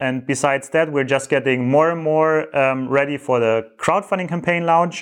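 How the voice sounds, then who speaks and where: Fairly even intonation marks a man with a German accent and a fairly high pitch. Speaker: entrepreneur vlogger. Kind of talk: monthly business update vlog. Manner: halting, many fillers.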